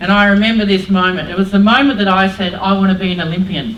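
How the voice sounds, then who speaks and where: A woman at medium pitch with an Australian accent, fairly quick in pace, with audible room echo. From Australia, New South Wales (Mount Druitt, Sydney). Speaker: former Olympic softball player and PE teacher, motivational speaker. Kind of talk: motivational talk to students. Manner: loud; animated.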